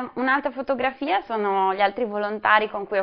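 Her medium-pitched voice shows ordinary pitch variation as this woman talks. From Ferrara, northern Italy. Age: 20s. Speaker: volunteer. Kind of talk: testimony. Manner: halting.

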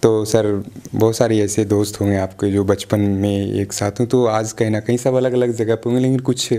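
A man's fairly low voice at a moderate pace, monotone with flat intonation. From Bihar, India. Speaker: local TV news interviewer. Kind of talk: interview. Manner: formal. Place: home room. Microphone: handheld.

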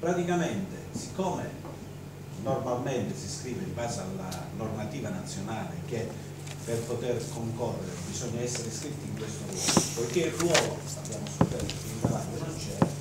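A man at a moderate pace with long, frequent pauses, amid loud background noise and audible room echo. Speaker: council member explaining a rule change. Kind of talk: council meeting statement. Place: hall.

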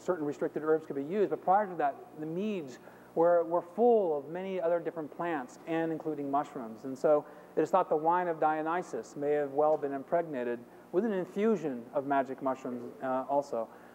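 Over light background noise, a man talks at a fairly quick pace with ordinary pitch variation. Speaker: conference presenter. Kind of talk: lecture. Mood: enthusiastic, humorous. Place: hall.

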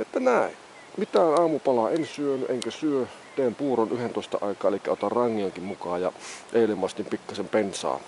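Moderate-paced speech in a dry sound with no echo, over light background noise. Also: man. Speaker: hiker vlogger. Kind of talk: casual vlog chat. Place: open country. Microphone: phone near.

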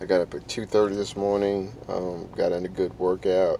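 There is noticeable background noise as a man speaks, though the sound itself is dry with no echo. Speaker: vlogger. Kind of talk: casual vlog chat. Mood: reflective, quiet early morning. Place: car. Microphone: phone near.

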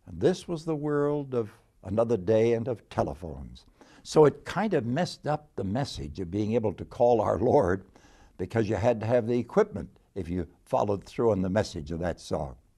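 A man with a dark, mellow tone and vocal fry makes very wide pitch swings over a quiet background. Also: moderate pace. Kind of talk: devotional talk. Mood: warm, gently humorous. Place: office. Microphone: lapel.

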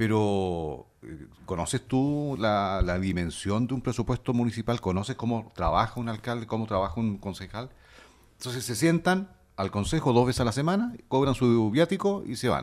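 In an ordinary speaking voice, a man talks at a moderate pace and medium pitch with lively intonation on a very clean recording with a silent background. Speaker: radio technician and co-host. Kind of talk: casual chat. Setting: studio.

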